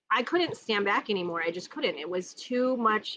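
Loud and bright, sharp in tone, a voice with an American accent moves at a moderate pace through very wide pitch swings over light background noise. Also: woman. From Minnesota. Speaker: neighborhood council candidate. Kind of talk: casual chat. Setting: outdoors, backyard live stream. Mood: passionate, earnest. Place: garden. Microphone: phone near.

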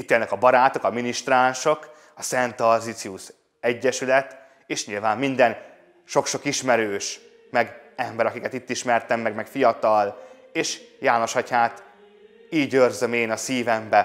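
This man's voice sits at a medium pitch and moves at a fairly slow pace. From Budaörs, Hungary; Hungary. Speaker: priest. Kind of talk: testimony. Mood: warm, smiling, nostalgic. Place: home room. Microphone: lapel.

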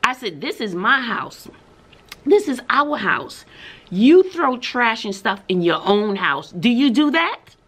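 A woman speaks at a very slow pace with a high pitch. Her voice moves in very wide pitch swings. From Texas. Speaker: schoolteacher and vlogger. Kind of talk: casual vlog monologue. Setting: classroom, recording to camera. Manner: chatty, laughs often. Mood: frustrated, venting. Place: home room. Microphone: webcam.

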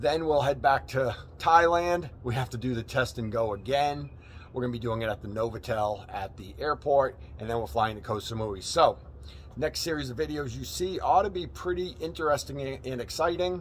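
Over light background noise, a man talks at a moderate pace with lively intonation. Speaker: travel vlogger. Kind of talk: casual vlog chat. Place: street. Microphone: phone near.

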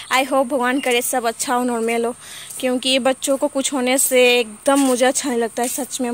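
Over light background noise, a woman talks in a high pitch with monotone, flat intonation, the recording dry with no echo. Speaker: mother vlogger. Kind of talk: casual vlog chat. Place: garden. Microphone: phone near.

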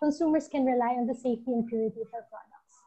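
Against a quiet background, a woman speaks at a fairly quick pace in a high pitch with ordinary variation. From Philippines. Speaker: marketing head. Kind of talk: product presentation; webinar presentation. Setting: video call. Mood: friendly, proud. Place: home room. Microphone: video call.

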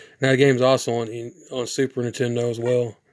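Speaking at a fairly quick pace, a man keeps his medium-pitched voice to little pitch movement.

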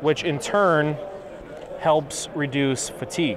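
A man speaks slowly at a fairly high pitch with ordinary pitch variation. Background noise is clearly audible.

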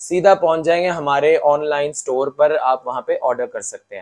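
At a moderate pace, a man talks.

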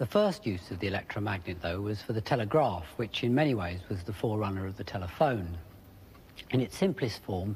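Over light background noise, the voice sounds somewhat breathy, with ordinary pitch variation. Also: man. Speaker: TV presenter. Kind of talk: documentary presentation. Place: workshop.

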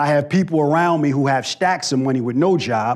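Against a quiet background, a man with an American accent talks fairly quickly in an animated tone at a fairly high pitch. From Los Angeles, US West Coast. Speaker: spoken word artist and veteran. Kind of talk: motivational talk with spoken word poetry. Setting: stage with audience. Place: hall. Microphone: lapel.

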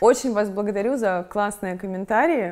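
A woman's voice with ordinary pitch variation against a quiet background. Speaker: video blogger and interviewer. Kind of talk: casual interview. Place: studio. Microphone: lapel.

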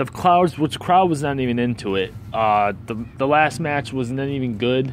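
A man's angry voice at a fairly slow pace, dry with no echo, over light background noise. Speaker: wrestling fan video reviewer. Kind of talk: angry rant review. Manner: angry, profane, venting; rambling, disfluent, stumbling. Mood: annoyed, ranting. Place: street. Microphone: phone near.

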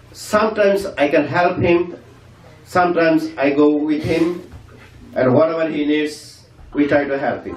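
A man's fairly high voice at a moderate pace, fairly even in intonation, with long, frequent pauses, audible room echo and light background noise. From Bangladesh. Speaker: community member; speaker. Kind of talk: farewell speech. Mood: respectful, grateful. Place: hall.

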